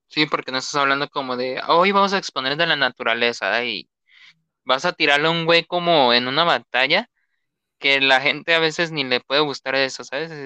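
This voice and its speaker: This man's voice is bright and sharp, with a fairly high pitch and ordinary pitch variation. He speaks at a moderate pace, recorded dry and close with no echo over a quiet background. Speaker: podcast host and music artist. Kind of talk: casual chat.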